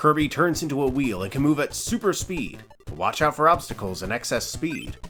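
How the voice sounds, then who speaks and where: A fairly high-pitched male voice over music in the background. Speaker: let's play commentator. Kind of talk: casual gameplay commentary.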